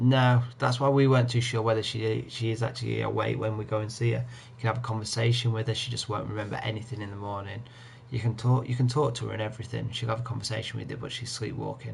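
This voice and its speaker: Quiet and at a very fast pace, a man of medium pitch speaks with an English accent, monotone, flat intonation and hardly any pauses, amid audible room echo and noticeable background noise. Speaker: gaming streamer. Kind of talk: live gameplay commentary. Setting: home live stream at night. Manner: quiet, holding voice down.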